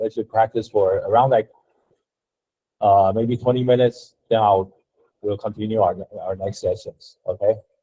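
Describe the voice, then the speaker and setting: A somewhat breathy man with a dark, mellow tone, monotone and flat intonation, and long, frequent pauses, in a dry, close sound with no echo. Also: medium pitch for a man. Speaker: design instructor. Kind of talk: lecture. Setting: classroom. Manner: slow; halting.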